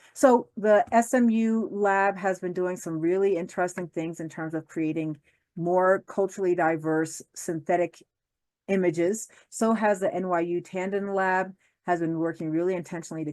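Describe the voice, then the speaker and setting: A woman with a slight New Jersey accent speaks at a fairly low pitch with ordinary pitch variation against a quiet background. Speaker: law professor. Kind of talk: lecture. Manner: fast; animated.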